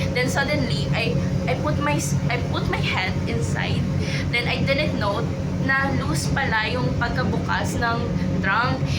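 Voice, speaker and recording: A woman with a very deep, low voice swings her pitch very widely at a moderate pace, with noticeable background noise and audible room echo. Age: 20s. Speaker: vlogger. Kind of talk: travel vlog. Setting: on a ferry.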